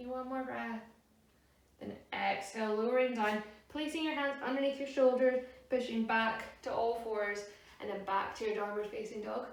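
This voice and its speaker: A woman talks at a moderate pace with fairly even intonation against noticeable background noise. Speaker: yoga teacher. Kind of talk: yoga class instruction.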